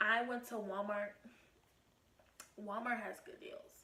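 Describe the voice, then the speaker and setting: With an animated tone and fairly high pitch, a woman speaks at a fairly slow pace amid audible room echo. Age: 20s. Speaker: YouTube vlogger. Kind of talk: casual vlog.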